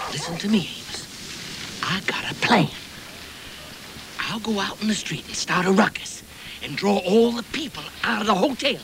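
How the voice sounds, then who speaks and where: Delivered at a moderate pace with long, frequent pauses, the speech sits over noticeable background noise. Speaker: comic outlaw character. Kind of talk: scripted comedic drama dialogue.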